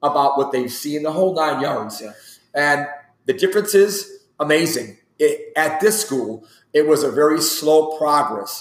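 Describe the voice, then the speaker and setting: In an unremarkable speaking voice, a man with a fairly high pitch and ordinary pitch variation talks at a fairly slow pace. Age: 40s. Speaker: strength and conditioning coach. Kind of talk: casual interview.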